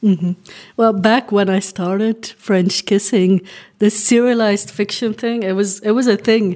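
The speech has a dark, mellow tone and fairly even intonation on a very clean recording with a silent background. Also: woman, medium pitch for a woman, fairly slow pace. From Belgium (Flemish). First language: Dutch (Flemish). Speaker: novelist. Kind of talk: interview.

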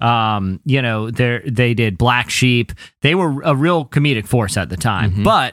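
A man speaks with a plain, everyday voice at a medium pitch and a moderate pace. His intonation is lively, and the recording is very clean, with a silent background. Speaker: podcast host. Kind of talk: casual chat.

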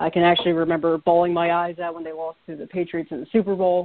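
With an American accent, a man talks at a fast pace in a fairly high pitch, his intonation monotone and flat.

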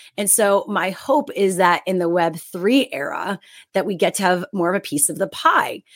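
In a very clean recording with a silent background, a woman with an unremarkable speaking voice talks at medium pitch and a moderate pace with lively intonation. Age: 30s. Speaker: media host and content creator. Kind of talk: interview podcast conversation.

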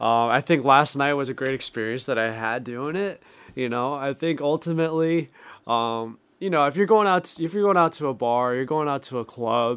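With a Rhode Island accent, a man talks at a moderate pace, his fairly high pitch showing ordinary variation. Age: 20s. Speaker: sales manager. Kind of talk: casual chat.

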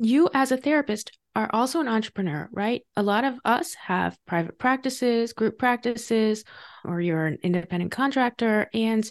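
With a normal speaking voice, a woman talks in a fairly high pitch with lively intonation, sounding dry and close with no echo against a quiet background. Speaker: podcast host. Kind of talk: interview conversation.

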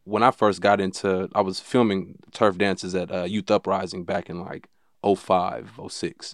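With an American accent, a man speaks in a fairly low pitch. His intonation is monotone and flat against a quiet background. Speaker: podcast host. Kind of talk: casual interview.

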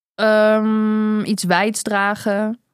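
A woman speaks at a fairly high pitch in a very clean recording with a silent background. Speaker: podcast host. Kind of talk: casual chat.

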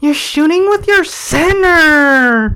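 A whiny, loud put-on character voice. The pitch sits high. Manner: complaining, a little loud.

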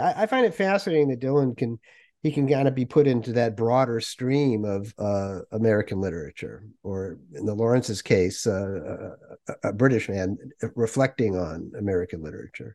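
The man's tone is dark and mellow, heard against a quiet background. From New England. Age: 60s. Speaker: podcast host. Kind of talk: interview. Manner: halting.

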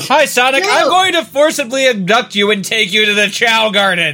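A man uses a squeaky, put-on character voice with a high pitch. He keeps a moderate pace, with clear music in the background. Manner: chirpy, nagging.

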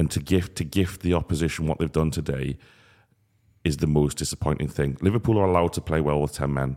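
A man with a very deep, low pitch and a dark, mellow tone talks at a very fast pace, with vocal fry and ordinary pitch variation. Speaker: podcast host. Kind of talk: casual football discussion.

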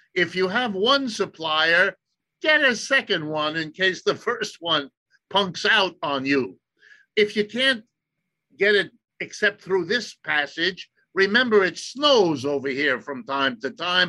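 In a raised, projected voice, a man with an American accent speaks at a fairly slow pace. His pitch is high, his tone is bright and sharp, and his pitch swings very widely. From US Midwest, Ohio. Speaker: economist. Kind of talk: interview.

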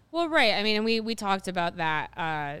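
With an American accent, a woman speaks on a very clean recording with a silent background. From Ohio. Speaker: sports podcast host. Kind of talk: casual chat.

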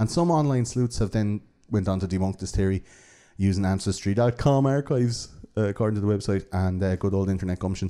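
In an Irish accent, a man talks at a very fast pace with a fairly low pitch, ordinary pitch variation and a dark, mellow tone, on a very clean recording with a silent background. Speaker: podcast host. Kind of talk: casual chat. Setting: studio.

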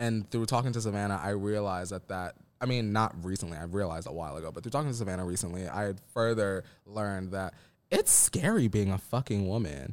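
A man's fairly low, animated voice in an American accent at a very fast pace, with ordinary pitch variation, on a very clean recording with a silent background. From New York City and Pennsylvania. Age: 20s. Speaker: reality TV contestant. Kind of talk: casual chat.

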